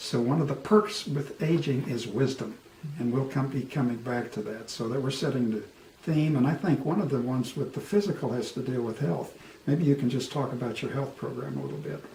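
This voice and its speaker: Over noticeable background noise and audible room echo, a man speaks at a fairly quick pace with ordinary pitch variation. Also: medium pitch for a man. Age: 70s. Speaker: co-host discussing aging. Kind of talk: casual chat.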